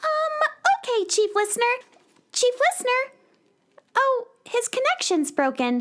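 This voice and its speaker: A woman's put-on character voice, extremely high-pitched, with very wide pitch swings, very even loudness, a fairly slow pace and long, frequent pauses. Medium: audio drama. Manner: hesitant.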